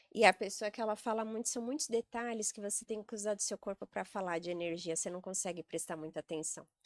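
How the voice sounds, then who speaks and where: With a medium pitch and ordinary pitch variation, a woman speaks at a very fast pace. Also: hardly any pauses, dry, close sound with no echo. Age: 40s. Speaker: sales and real estate executive. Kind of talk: podcast interview conversation.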